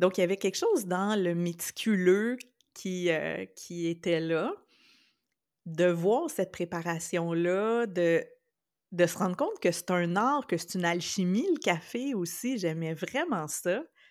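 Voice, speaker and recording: Her pitch sits in the medium range for a woman and varies in an ordinary way. She speaks very slowly on a very clean recording with a silent background. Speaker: podcast co-host. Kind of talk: casual chat.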